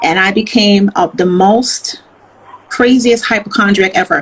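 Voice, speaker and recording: An animated woman of medium pitch with ordinary pitch variation, amid noticeable background noise. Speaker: motivational speaker and author. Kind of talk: interview testimony. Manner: loud.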